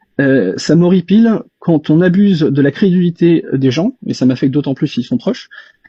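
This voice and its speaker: A man's voice with lively intonation and hardly any pauses. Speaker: reverse engineer, self-taught tinkerer. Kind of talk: casual discussion in live audio chat. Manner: fast; hesitant, many fillers.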